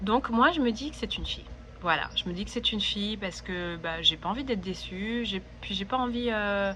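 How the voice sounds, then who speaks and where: A woman speaks at a moderate pace, and audible room echo can be heard around her. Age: 30s. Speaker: vlogger. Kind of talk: personal vlog monologue. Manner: hesitant, many fillers.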